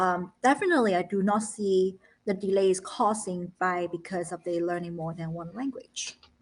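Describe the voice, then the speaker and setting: A woman with a Chinese accent speaks with fairly even intonation. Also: medium pitch for a woman, moderate pace. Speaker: founder of a children's learning academy and parent. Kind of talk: live educational talk show.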